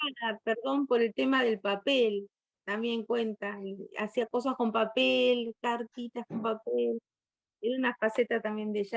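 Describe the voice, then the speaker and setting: A normal speaking voice from a woman, fairly high in pitch, at a moderate pace with ordinary pitch variation, dry and close with no echo. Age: 60s. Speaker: guest lecturer on poetry. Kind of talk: virtual conference Q&A.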